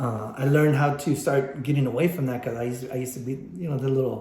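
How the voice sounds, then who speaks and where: A man at a medium pitch and fairly quick pace, with audible room echo. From Texas, San Antonio. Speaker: photographer and podcast host. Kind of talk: casual podcast chat. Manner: loud; animated.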